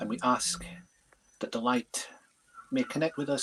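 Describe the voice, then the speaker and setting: A man speaks with an Aberdeen accent. His pace is fairly slow. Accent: Aberdeen twang rather than Leeds. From Leeds, northern England. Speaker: medium. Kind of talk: prayer.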